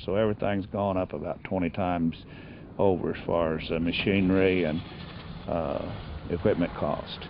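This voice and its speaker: Very deep and low, a man's voice carries an American accent. His intonation stays fairly even. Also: moderate pace. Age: 70s. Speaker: wheat farmer. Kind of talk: interview answer. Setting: outdoors.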